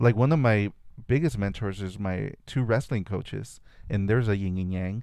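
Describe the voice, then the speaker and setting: In a Spanish accent, a man speaks at a moderate pace with a fairly low pitch, ordinary pitch variation and a dark, mellow tone. The recording is very clean, with a silent background. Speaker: artist. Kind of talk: casual interview chat.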